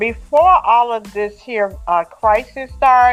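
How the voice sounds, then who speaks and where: Over music in the background, the speech moves at a very slow pace. The pitch varies in an ordinary way. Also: woman. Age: 70s. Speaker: author. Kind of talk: interview answer.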